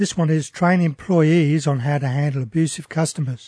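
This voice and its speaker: A man with an Australian accent has a fairly high pitch, a dark, mellow tone, a somewhat breathy quality and ordinary pitch variation. The sound is dry and close with no echo over a quiet background. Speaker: radio host. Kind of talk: radio talk show. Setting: radio studio.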